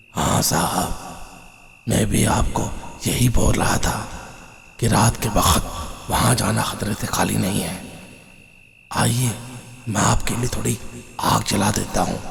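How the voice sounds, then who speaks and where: A man puts on a character voice at a fairly low pitch. He speaks at a fairly slow pace with long, frequent pauses. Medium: read story. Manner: respectful, rustic, addresses listener as babuji.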